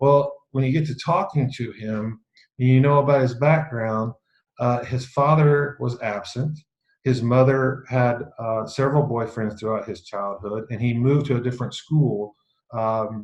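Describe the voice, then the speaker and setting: A somewhat breathy man at a fairly slow pace. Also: medium pitch for a man. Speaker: leadership speaker. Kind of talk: talk on self-awareness to an online group. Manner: hesitant, many fillers and repeats; deadpan irony.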